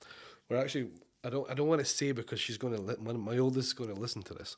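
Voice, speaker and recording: A man with a Scottish accent, very fast pace, medium pitch, fairly even intonation, very clean recording with a silent background. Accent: Scottish, somewhat toned down. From Scotland, Oban (west Highlands). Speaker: chef and restaurant owner. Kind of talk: casual chat.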